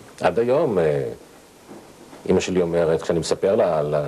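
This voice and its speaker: This man's pitch is very deep. His voice sits very low. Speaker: interviewee. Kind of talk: interview answer. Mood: calm, reflective, personal. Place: studio.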